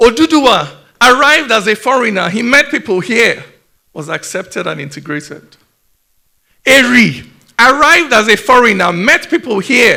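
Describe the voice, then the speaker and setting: Pitched extremely high, a man speaks in a raised, projected voice with a bright, sharp tone and very wide pitch swings. He keeps a moderate pace marked by long, frequent pauses. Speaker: poet. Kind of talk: spoken word performance.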